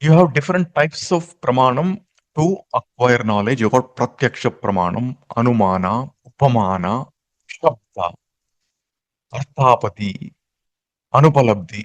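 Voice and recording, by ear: A man at a medium pitch talks at a fairly slow pace, using lively intonation and long, frequent pauses.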